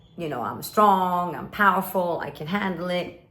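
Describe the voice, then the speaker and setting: Audible room echo surrounds a woman speaking with a fairly low pitch. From Sweden and Kuwait (American school). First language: Swedish. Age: 50s. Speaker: life coach. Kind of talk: direct-to-camera talk.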